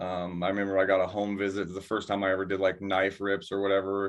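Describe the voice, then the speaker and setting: A man's fairly low voice, an ordinary speaking voice, at a fairly quick pace. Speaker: guest in recovery. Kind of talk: casual chat. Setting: studio.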